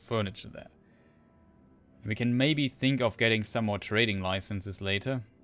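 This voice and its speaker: A man with a German accent speaks at a moderate pace in a fairly low pitch, his intonation fairly even. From Germany. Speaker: video game streamer. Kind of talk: live gameplay commentary. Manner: halting.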